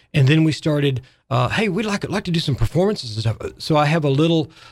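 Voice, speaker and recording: A somewhat breathy man with an Arkansas accent at a very fast pace, with ordinary pitch variation, on a very clean recording with a silent background. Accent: Southern US (Arkansas). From US South, Arkansas. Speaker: music shop owner and arts nonprofit president. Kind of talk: radio interview. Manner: halting.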